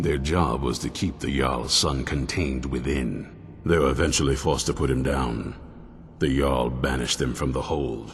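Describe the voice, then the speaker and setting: Clear music plays in the background. Over it, a man speaks at a moderate pace in a put-on character voice. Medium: video game. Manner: gruff, blunt, commanding.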